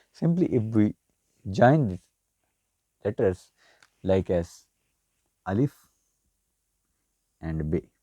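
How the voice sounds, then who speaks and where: A man with a Pakistani accent speaks very slowly, leaving long, frequent pauses, his tone dark and mellow. His pitch swings very widely, and the sound is dry and close with no echo. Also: fairly low pitch for a man. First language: Urdu. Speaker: language teacher. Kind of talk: tutorial.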